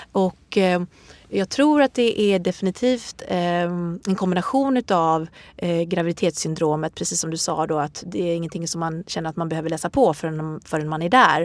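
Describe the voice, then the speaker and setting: In a plain, everyday voice, a woman talks at a moderate pace with lively intonation and a fairly low pitch, the sound dry and close with no echo on a very clean recording with a silent background. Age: 40s. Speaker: yoga instructor and author. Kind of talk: interview.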